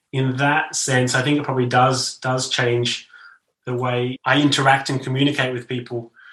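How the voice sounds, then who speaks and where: A man's medium-pitched voice with an Australian accent, monotone and flat in intonation, at a fairly quick pace. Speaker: novelist. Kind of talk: interview conversation.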